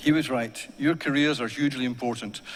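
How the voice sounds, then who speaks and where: A man with an Ayrshire accent speaks with fairly even intonation. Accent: Ayrshire Scottish. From Scotland, Ayrshire (Kilmarnock). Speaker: university staff member giving graduation address. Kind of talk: graduation speech. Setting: ceremony hall with audience. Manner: formal.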